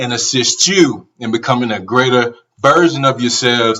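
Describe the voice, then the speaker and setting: Here a man speaks in an unremarkable speaking voice. His pace is moderate, with ordinary pitch variation. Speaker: podcast host. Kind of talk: casual podcast intro.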